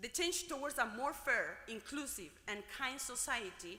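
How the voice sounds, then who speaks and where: Amid audible room echo, a woman with a high pitch speaks in a raised, projected voice. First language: Spanish. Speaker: graduate student speaker. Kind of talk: commencement speech. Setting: gymnasium ceremony with audience.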